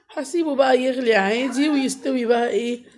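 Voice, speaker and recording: A woman talks at a moderate pace, her pitch high and varying in an ordinary way. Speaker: cooking vlogger and mother. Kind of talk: cooking vlog voiceover. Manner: casual and chatty.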